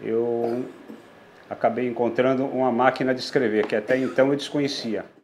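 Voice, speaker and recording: The speaker keeps a flat, monotone delivery. Words come at a moderate speed. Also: man, medium pitch for a man. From southern Brazil (Rio Grande do Sul, Passo Fundo). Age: 60s. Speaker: typewriter mechanic and collector. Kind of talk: interview monologue about his craft and history. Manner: halting, many restarts and fillers.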